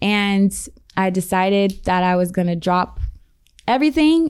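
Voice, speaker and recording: This woman has a plain, everyday voice in an American accent. Her medium pitch shows ordinary variation. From US Midwest, Columbus, Ohio. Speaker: fashion model and mentor. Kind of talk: casual interview chat.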